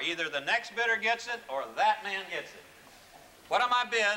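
With light background noise, a man projects a raised voice at an extremely high pitch, keeping a moderate pace. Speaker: auctioneer. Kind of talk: live charity auction at a convention. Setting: large convention hall with live audience. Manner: lively, coaxing. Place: hall.

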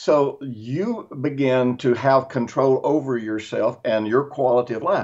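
With hardly any pauses, the speaker goes at a fairly slow pace with ordinary pitch variation over a quiet background. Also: man. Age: 60s. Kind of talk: casual chat. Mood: earnest, teaching. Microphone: video call.

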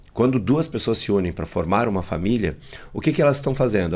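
A man's fairly low voice with lively intonation. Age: 50s. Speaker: emotional intelligence trainer and speaker; emotional intelligence trainer, speaker. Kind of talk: interview. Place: studio. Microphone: studio mic.

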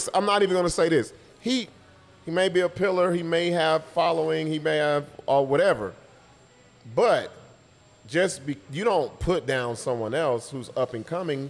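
Lively in intonation, a man speaks at a moderate pace with long, frequent pauses. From Los Angeles. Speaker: comedian. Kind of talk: casual chat. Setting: coffee shop. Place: cafe. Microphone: studio mic.

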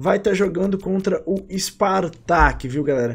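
A man talks at a fairly slow pace and high pitch. His intonation is lively. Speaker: gaming YouTuber. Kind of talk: casual video commentary on game trading. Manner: informal, slangy.

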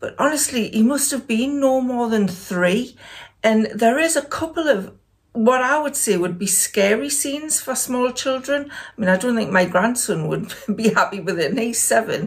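Against a quiet background, a woman speaks in a high voice with lively intonation. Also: moderate pace. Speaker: lifestyle vlogger. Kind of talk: casual vlog chat. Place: home room.

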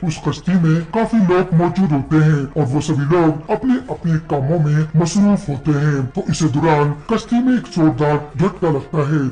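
A man speaks in a fairly high pitch. Clear background noise runs underneath. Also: moderate pace. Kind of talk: informal episode recap storytelling. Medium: read story. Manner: friendly, conversational.

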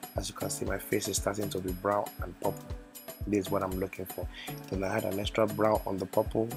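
Over music in the background, the speech moves at a very fast pace with fairly even intonation. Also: man, fairly low pitch for a man. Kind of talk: comedic voiceover narrating a makeup tutorial. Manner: playful, joking.

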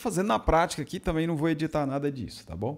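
A man's dark, mellow tone comes across on a very clean recording against a silent background. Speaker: audio equipment reviewer. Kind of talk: tutorial.

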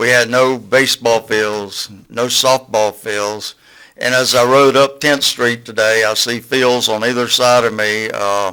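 A bright, sharp tone with a Southern US accent, monotone, flat intonation and a fairly slow pace. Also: man, medium pitch for a man. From US South, Florida Panhandle (Port St. Joe). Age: 60s. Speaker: community speaker at public meeting. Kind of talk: public comment at county meeting. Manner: unprepared, halting.

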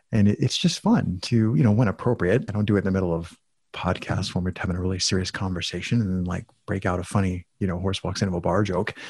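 A very deep, low male voice, somewhat breathy, at a very fast pace with fairly even intonation over a quiet background. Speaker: podcast guest with many personal projects. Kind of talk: casual interview conversation.

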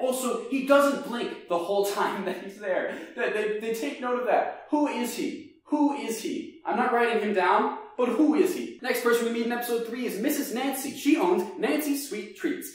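With strong room echo, a man speaks at a moderate pace in an extremely high pitch with ordinary pitch variation.

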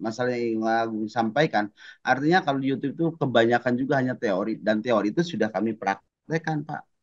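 A man's speech comes at a very fast pace, heard over a quiet background. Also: ordinary pitch variation. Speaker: teacher acting as coachee; teacher being coached. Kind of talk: coaching role-play. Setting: video call. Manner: halting, many fillers. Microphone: video call.

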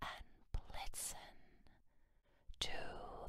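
Whispering, a woman speaks in a soothing tone. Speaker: reader, narrator. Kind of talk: ASMR story reading. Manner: soothing, soft. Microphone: studio mic.

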